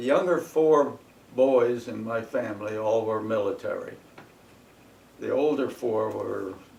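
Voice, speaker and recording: A man with an American accent at a fairly slow pace, with long, frequent pauses, noticeable background noise and audible room echo. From northern New Jersey. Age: 90s. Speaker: war veteran. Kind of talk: oral history interview. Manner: halting.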